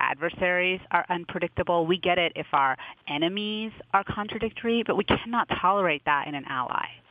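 A woman talks at a fairly quick pace with a medium pitch and ordinary pitch variation. It is an unremarkable speaking voice. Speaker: foreign policy journalist. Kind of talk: interview discussion.

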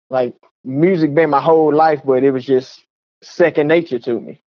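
A man with an ordinary speaking voice, fairly high pitch, ordinary pitch variation and an American accent, at a fairly quick pace. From Texas, Waco. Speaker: rapper. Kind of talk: interview.

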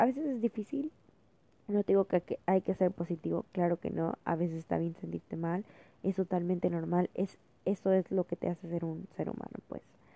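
A woman talks in a plain, everyday voice at medium pitch with ordinary pitch variation. She speaks at a moderate pace, with a dry, close sound with no echo. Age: 20s. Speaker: student podcaster. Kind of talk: casual monologue.

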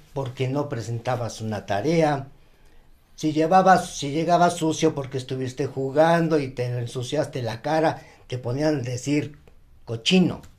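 A man speaks in an ordinary speaking voice, pitched fairly high. His pitch varies in an ordinary way. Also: fairly slow pace. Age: 60s. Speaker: retired banker. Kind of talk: casual chat.

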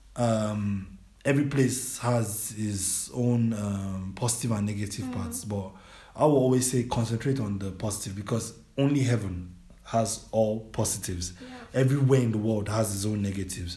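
A man speaks with a fairly low pitch and a dark, mellow, somewhat breathy tone. His pace is moderate, pitch variation is ordinary, and the room echo is audible. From Nigeria. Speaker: educational consultant. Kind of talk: interview.

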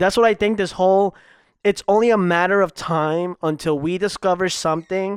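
In a very clean recording with a silent background and a dry, close sound with no echo, a man talks at a moderate pace in a high pitch with ordinary pitch variation. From Ecuador. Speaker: podcast host. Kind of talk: casual chat.

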